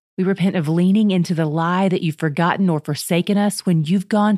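A woman has an unremarkable speaking voice at medium pitch and moderate pace, with fairly even intonation. The recording is very clean, with a silent background. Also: dry, close sound with no echo. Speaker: podcast host. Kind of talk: fervent prayer; scripted prayer, sample preview. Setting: podcast, solo. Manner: earnest, heartfelt, pleading.

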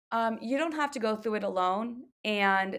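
A woman speaks fairly slowly in an ordinary speaking voice, fairly high in pitch with ordinary pitch variation. The recording is very clean, with a silent background. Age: 20s. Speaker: wellness business co-owner and yoga coach. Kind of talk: casual interview chat.

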